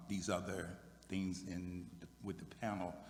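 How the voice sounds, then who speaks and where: A man's very deep, low voice with an American accent and audible room echo. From Virginia, US South. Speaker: military veteran, high school equity staff. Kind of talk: panel discussion. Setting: church sanctuary with audience.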